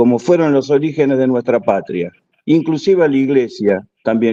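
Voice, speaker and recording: Dry and close with no echo, a man's voice carries a dark, mellow tone. He keeps a moderate pace with ordinary pitch variation. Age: 60s. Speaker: audience participant, army reservist. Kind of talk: question-and-answer contribution at an online conference.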